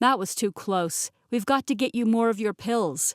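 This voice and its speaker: A woman uses a put-on character voice at a fairly high pitch and a moderate pace. The sound is dry and close, with no echo. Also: ordinary pitch variation. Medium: read story.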